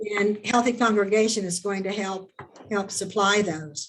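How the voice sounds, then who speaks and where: Fairly even intonation and a medium pitch mark this woman's speech. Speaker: church member presenting health ministry. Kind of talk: webinar presentation. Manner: halting, many repetitions.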